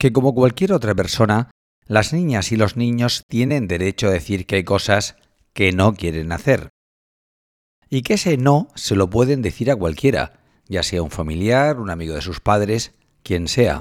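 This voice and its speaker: A man with an ordinary speaking voice talks at a fairly slow pace and a fairly low pitch with lively intonation. The recording is very clean, with a silent background. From Spain, Cartagena (Murcia). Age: 40s. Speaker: journalism professor. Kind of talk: scripted narration.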